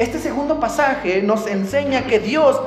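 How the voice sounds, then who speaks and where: Over audible room echo and noticeable background noise, a man speaks at an extremely high pitch. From northern Mexico, Tamaulipas and Coahuila. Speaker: pastor. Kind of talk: sermon.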